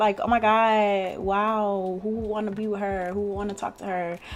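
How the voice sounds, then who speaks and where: A woman speaks at a fairly high pitch and a moderate pace. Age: 20s. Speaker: beauty vlogger. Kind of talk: casual chat. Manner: loud; laughs often.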